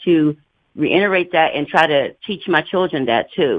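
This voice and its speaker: In an ordinary speaking voice, a woman talks at a moderate pace with fairly low pitch and ordinary pitch variation. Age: 60s. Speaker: caller. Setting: phone call.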